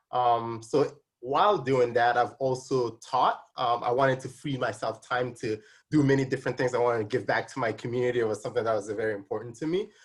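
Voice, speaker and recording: Somewhat breathy speech in a slight Nigerian accent comes at a fairly quick pace with ordinary pitch variation against a quiet background. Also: man, medium pitch for a man. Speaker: tax specialist and accounting instructor. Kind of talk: interview. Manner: hesitant, many fillers.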